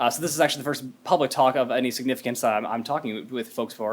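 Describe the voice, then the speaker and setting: With an American accent, a man talks at a very fast pace in a medium pitch, his pitch varying in an ordinary way. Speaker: robotics software engineer giving a keynote. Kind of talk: conference keynote talk. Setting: stage with audience.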